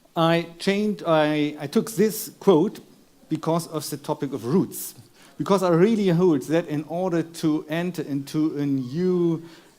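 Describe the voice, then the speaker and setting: With a German accent, a man speaks fairly slowly in a high pitch and a dark, mellow tone. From Germany. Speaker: philosopher. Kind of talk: lecture. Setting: stage with audience. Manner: halting.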